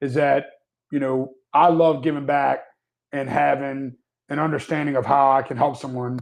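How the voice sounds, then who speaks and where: This man has a fairly high voice and fairly even intonation. He talks at a moderate pace. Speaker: managed IT services business owner. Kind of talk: live webinar discussion. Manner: loud.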